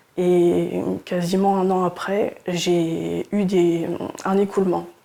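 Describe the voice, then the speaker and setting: The woman's voice sits at a medium pitch and carries a dark, mellow tone. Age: 30s. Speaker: cancer patient. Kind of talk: testimony. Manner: halting, with frequent hesitations.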